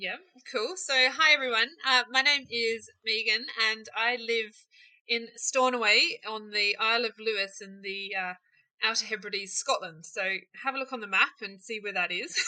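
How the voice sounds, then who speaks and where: A woman with a New Zealand accent speaks at a fairly high pitch, her loudness swinging widely. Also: ordinary pitch variation, moderate pace. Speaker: small business owner, candle maker. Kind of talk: interview, casual chat.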